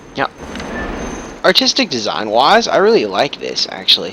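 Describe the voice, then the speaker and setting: A man speaks while noticeable background noise carries on behind him. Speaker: let's play gamer. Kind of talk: gameplay commentary. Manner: loud.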